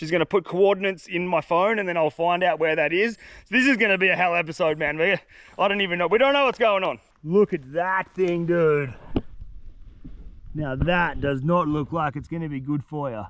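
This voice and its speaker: A man with an Australian accent, high-pitched, with ordinary pitch variation and a fairly quick pace. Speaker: outdoor adventure vlogger. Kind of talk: vlog narration outdoors. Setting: outdoors in a forest. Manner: animated.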